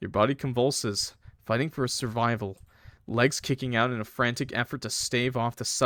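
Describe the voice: The voice is a plain reading aloud with fairly even intonation.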